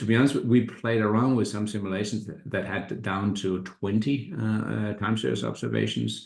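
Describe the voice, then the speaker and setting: A man with a fairly low pitch and vocal fry speaks at a moderate pace with ordinary pitch variation. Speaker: economics professor. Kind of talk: academic seminar talk. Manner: halting, many fillers and repetitions.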